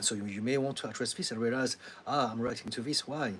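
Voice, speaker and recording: A man speaks with a French accent at a medium pitch. His pitch variation is ordinary. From France (Paris), Chinese heritage. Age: 50s. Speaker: therapist. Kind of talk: live Q&A answering viewer comments. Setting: YouTube livestream. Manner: hesitant, many fillers.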